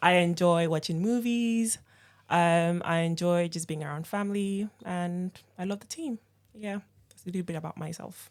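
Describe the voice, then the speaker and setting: A woman speaks with a slight Nigerian accent, her pitch fairly low and her intonation fairly even. Her loudness swings widely, and the recording is very clean with a silent background. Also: moderate pace. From Nigeria, Lagos. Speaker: operations team member. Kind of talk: casual chat.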